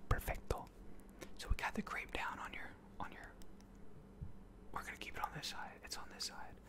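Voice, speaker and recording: At a moderate pace, the man is whispering. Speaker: ASMR creator. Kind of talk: soft-spoken ASMR roleplay. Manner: soft, close-mic ASMR murmur. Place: home room. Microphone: studio mic.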